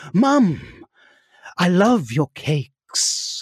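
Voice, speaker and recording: Using a put-on character voice at a middle pitch, the speaker makes very wide pitch swings. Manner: grand, theatrical.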